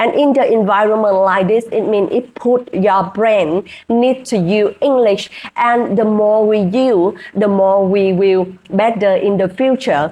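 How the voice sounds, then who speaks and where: Speaking with a Vietnamese accent, a woman with a fairly high pitch talks at a fairly slow pace with ordinary pitch variation and very even loudness. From Vietnam, rural village. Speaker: hospitality worker and English-learning vlogger. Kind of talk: casual vlog. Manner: halting, with fillers.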